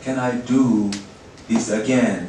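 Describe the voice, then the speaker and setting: Noticeable background noise runs under a man's voice. The room's echo is audible. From Tibet (Eastern). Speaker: journalist. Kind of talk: lecture. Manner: halting, many fillers.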